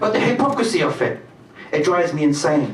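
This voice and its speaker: A man speaks at a moderate pace with very wide pitch swings over noticeable background noise. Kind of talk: slam poetry performance. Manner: rhythmic, rhyming delivery.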